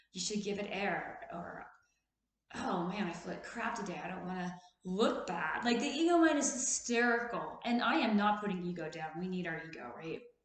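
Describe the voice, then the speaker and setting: Room echo is audible as a woman speaks at a medium pitch. Her voice shows very wide pitch swings and big swings in loudness. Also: moderate pace. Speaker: therapist and video host. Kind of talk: casual motivational talk.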